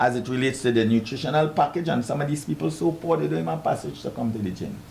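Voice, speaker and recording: Very wide pitch swings in a Trinidadian accent. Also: man. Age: 70s. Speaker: boxing coach. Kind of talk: talk show interview. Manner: animated.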